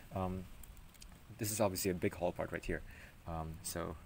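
A man's very deep, low voice at a fairly quick pace, over light background noise. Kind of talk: casual tutorial ramble. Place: street. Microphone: phone near.

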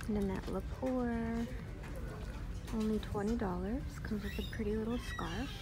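A woman's voice with crowd noise in the background. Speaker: shopping vlogger. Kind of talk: casual vlog chat. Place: shop. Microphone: phone near.

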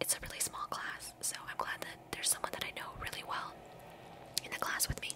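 A woman is whispering. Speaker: ASMR creator. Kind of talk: casual talk to camera. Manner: whispered, soft-spoken. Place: home room. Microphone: studio mic.

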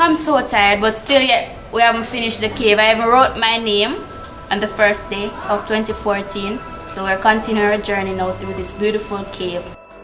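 Clear music plays in the background. The speech moves at a moderate pace. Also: woman, ordinary pitch variation. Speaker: presenter. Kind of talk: casual presenter commentary. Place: tunnel cave.

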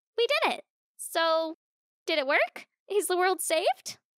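In a put-on character voice that sounds female, the speaker talks at a moderate pace with an upbeat tone and an extremely high pitch. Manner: upbeat, excitable.

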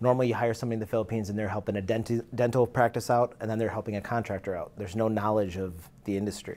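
A man's medium-pitched voice, monotone and flat, at a very fast pace. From India. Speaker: business services company owner; interview guest. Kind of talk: casual interview. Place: studio. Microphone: lapel.

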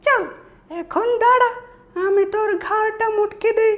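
In a put-on character voice, a man talks fairly slowly with his pitch pushed extremely high. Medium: voice reel.

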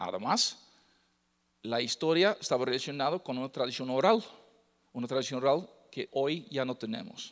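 A man with a Dutch accent talks at a moderate pace with lively intonation. The background is quiet. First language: Dutch (speaking Spanish). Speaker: lecturer on Mixtec codices. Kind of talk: lecture. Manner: halting, many fillers. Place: hall.

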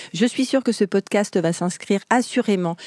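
This woman's voice has a dark, mellow tone. She speaks at a moderate pace with ordinary pitch variation. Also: dry, close sound with no echo. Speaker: podcast host and private chef. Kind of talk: scripted narration; casual chat. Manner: energetic.

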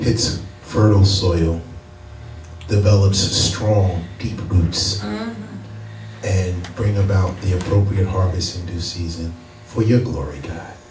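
A man's very deep, low voice at a very slow pace, with long, frequent pauses, fairly even intonation and noticeable background noise. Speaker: pastor. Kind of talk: prayer before sermon. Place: church.

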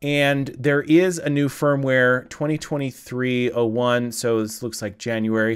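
Over a quiet background, a man talks at a very slow pace with fairly even intonation. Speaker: video creator. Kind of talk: tutorial. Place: studio. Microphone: studio mic.

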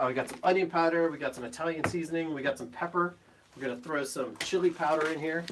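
A man talks at a very fast pace with fairly even intonation. Noticeable background noise is audible behind him. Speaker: guest. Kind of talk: casual cooking chat. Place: kitchen. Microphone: phone near.

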